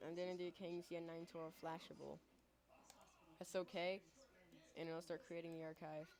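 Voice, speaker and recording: A woman talks at a moderate pace in a fairly low pitch, her intonation monotone and flat. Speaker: tech tutorial youtuber. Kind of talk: tutorial. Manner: halting, self-admitted stuttering; casual.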